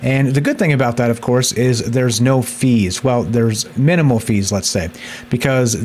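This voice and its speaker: Talking in an American accent at a moderate pace, a man keeps a medium pitch over noticeable background noise. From United States. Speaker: crypto gaming youtuber. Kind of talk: casual tutorial video. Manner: casual, with fillers and repetitions.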